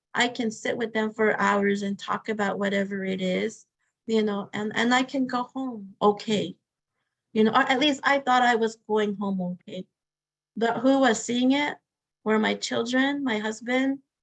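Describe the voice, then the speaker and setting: A woman's somewhat breathy, fairly high voice in an American accent, at a moderate pace with fairly even intonation. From Arizona, Hopi. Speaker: victim advocate. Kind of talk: webinar talk, Q&A answers. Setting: online webinar.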